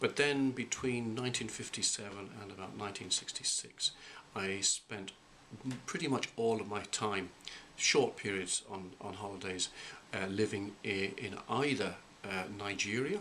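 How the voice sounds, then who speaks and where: This man talks at a moderate pace in a fairly low voice with ordinary pitch variation, over noticeable background noise. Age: 50s. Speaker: college president. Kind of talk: interview. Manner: halting.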